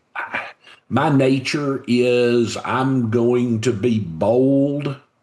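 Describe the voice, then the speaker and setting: With a Southern US accent, a man is talking. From US South, Covington, Georgia. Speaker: business leader and author. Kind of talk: podcast interview.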